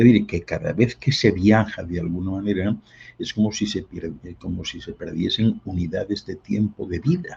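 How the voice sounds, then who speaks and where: Somewhat breathy and fairly low in pitch, a man talks at a moderate pace with ordinary pitch variation. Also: quiet background. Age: 70s. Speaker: guest speaker on esoteric topics. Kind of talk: interview talk. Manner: hesitant, with fillers.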